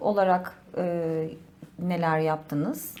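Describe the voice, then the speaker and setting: This woman's voice is fairly low in pitch. She talks at a very slow pace. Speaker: interviewer. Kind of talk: interview question.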